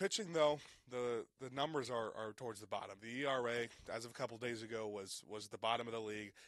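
A man talks at a medium pitch, his pitch variation ordinary. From Cincinnati. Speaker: sports podcast co-host. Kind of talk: sports talk podcast. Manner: filler-heavy, hesitant.

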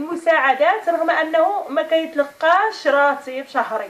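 A woman speaks at a fairly slow pace. Her high voice has ordinary pitch variation. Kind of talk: interview answer. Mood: earnest, complaining. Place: home room. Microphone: camera far.

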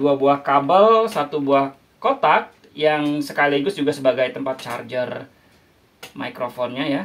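Fairly high in pitch, a man speaks at a fairly slow pace. His pitch varies in an ordinary way.

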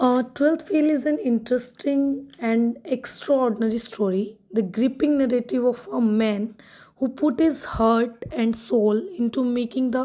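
On a very clean recording with a silent background, a woman's high-pitched voice carries a dark, mellow tone and ordinary pitch variation. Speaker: audiobook narrator. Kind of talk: literary audiobook reading of a Hindi novel's preface. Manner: steady, measured storytelling pace, clear book-reading diction; casual Hinglish code-switching in intro and outro.

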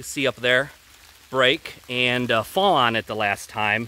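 The speech comes at a fairly slow pace, with a dry sound and no echo. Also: man. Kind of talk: casual walk-through tour. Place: forest. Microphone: phone near.

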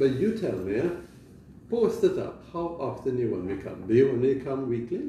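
A man speaks at a moderate pace in a dark, mellow tone. His pitch swings widely, and the room echo is audible.

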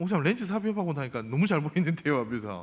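His tone is animated, and his pitch swings very widely. The man moves at a fairly quick pace. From South Korea, Ulsan. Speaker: pastor. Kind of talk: sermon.

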